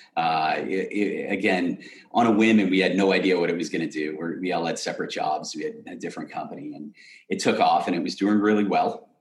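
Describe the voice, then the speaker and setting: Audible room echo follows this man's voice. He has an American accent and moves at a fairly quick pace. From Massachusetts, south of Boston. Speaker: hockey equipment entrepreneur and charity founder. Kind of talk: casual interview.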